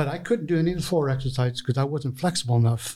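Fairly quick speech from a man, medium in pitch, somewhat breathy, with a dark, mellow tone. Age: 60s. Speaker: sushi chef and restaurant owner. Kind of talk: interview. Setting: studio.

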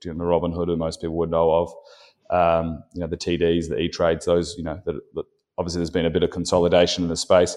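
Against a quiet background, a man with an Australian accent speaks very fast in a very deep, low pitch, his tone dark and mellow and his intonation flat and monotone. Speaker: company founder and CEO. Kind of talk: interview.

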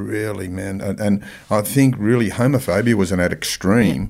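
Speaking in an Australian accent, a man talks with a fairly low pitch. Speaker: podcast host. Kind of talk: interview.

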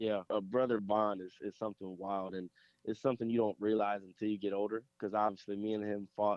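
This man has a plain, everyday voice with an American accent. He talks at a fairly quick pace and a fairly low pitch. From Ohio, Columbus suburbs. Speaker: college quarterback. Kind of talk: casual interview.

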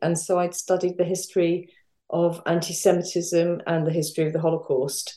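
Dark and mellow in tone, the voice stays monotone and flat. Its pace is moderate. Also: woman. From North London, England. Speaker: historian. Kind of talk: interview.

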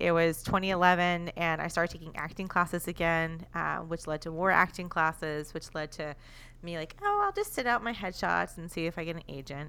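This woman has a fairly low pitch and a bright, sharp tone, with an American accent. Her pace is fairly quick. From Texas. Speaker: comedy podcaster. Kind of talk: casual chat.

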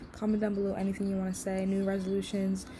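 A woman's medium-pitched voice at a very fast pace, with noticeable background noise. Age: 20s. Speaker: podcast host and digital artist. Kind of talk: casual solo vlog talk. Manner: rambling, fast flowing.

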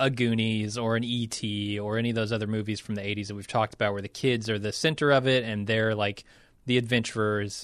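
Over a quiet background, a man talks at a moderate pace in an unremarkable speaking voice of medium pitch. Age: 30s. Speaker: podcast host. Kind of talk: casual chat.

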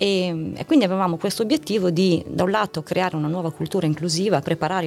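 A woman with a fairly low pitch talks very fast with ordinary pitch variation and hardly any pauses. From northern Italy, Novara province. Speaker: corporate communications executive. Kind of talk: interview. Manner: hesitant with fillers.

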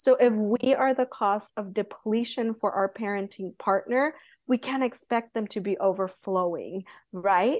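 Against a quiet background, a woman with an American accent and a normal speaking voice talks fairly slowly at a fairly high pitch with ordinary pitch variation. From Southern California. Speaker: Montessori guide. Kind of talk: interview.

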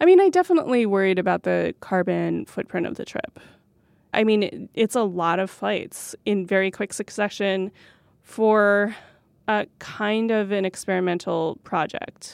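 A woman with an American accent talks at a fairly slow pace in a plain, everyday voice, the sound dry and close with no echo in a very clean recording with a silent background. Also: medium pitch for a woman, ordinary pitch variation. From rural New Mexico, US. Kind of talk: interview.

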